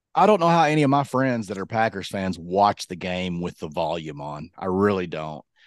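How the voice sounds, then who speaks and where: A man with a very deep, low pitch speaks at a moderate pace in an animated tone with lively intonation. His loudness swings widely against a quiet background. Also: hardly any pauses. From Kentucky. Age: 40s. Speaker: podcast co-host. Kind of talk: casual chat.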